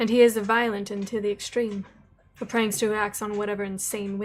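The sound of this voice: This is an unforced reading voice. It is an unforced reading voice throughout.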